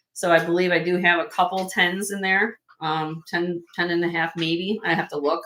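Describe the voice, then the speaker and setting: With a northern US accent, a woman speaks at a fairly low pitch in a monotone, flat intonation, with hardly any pauses. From US Midwest, Chicago area. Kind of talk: live sale stream. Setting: live stream. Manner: fast.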